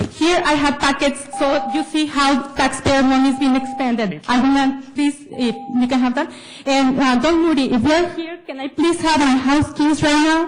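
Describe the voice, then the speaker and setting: A woman with a non-native accent talks at a moderate pace with hardly any pauses and fairly even intonation. Noticeable background noise sits behind her. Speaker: public commenter. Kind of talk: public comment speech at government meeting.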